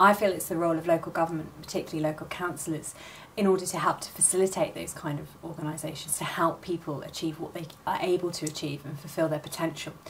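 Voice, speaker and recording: A woman talks very fast at a fairly low pitch, with monotone, flat intonation and big swings in loudness. There is noticeable background noise. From rural Oxfordshire, England. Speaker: council candidate and teacher. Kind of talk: campaign statement. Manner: formal.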